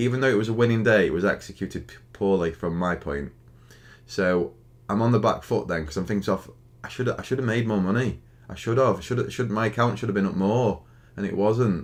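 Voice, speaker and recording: Speaking at a very fast pace with a Stoke accent, a man uses a fairly low pitch and ordinary pitch variation. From Stoke-on-Trent, England. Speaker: day trader streamer. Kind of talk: live stream chat. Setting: live stream. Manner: halting.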